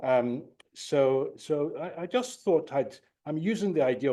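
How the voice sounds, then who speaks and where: A dark, mellow tone with lively intonation at a fairly slow pace over a quiet background. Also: man. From Nigeria. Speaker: professor of psychiatry. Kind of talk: lecture. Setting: lecture hall, no slides. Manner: repetitive, halting.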